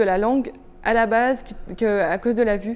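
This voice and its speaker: A woman's voice at a fairly high pitch. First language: Turkish (speaking French). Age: 30s. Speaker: visually impaired law student and inclusion consultant. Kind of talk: interview testimony. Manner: hesitant, many fillers.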